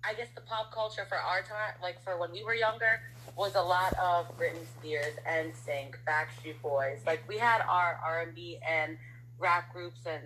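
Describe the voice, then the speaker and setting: A woman speaks with an American accent, her very deep, low pitch carrying a bright, sharp tone. Her pitch swings very widely, and her pace is fairly slow. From Harlem and the Bronx, New York. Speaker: guest and prospective co-host. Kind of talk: casual conversation.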